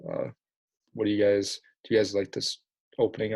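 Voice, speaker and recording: A man speaks quietly at a fairly quick pace, his voice fairly low in pitch and somewhat breathy. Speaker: podcast host. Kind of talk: casual chat. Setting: home basement, late at night. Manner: quiet, hushed.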